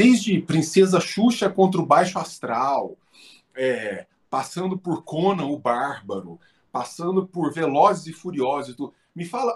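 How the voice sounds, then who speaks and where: A man speaks at a fairly slow pace in a high, animated voice with lively intonation. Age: 40s. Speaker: philosophy professor. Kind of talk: interview.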